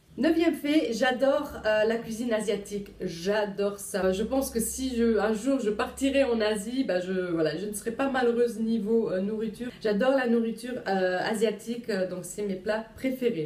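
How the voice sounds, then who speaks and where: Moderate-paced speech from a woman with a fairly high voice, hardly any pauses and ordinary pitch variation, over noticeable background noise. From Luxembourg, Italian family. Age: 20s. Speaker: vlogger, young mother. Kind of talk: casual vlog. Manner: hesitant, many fillers.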